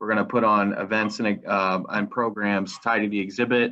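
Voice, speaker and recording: A man's unremarkable speaking voice, fairly low in pitch with fairly even intonation, against a quiet background. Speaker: museum programs coordinator. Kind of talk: guided virtual tour. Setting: live stream from home. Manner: casual, filler-heavy. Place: home room. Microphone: video call.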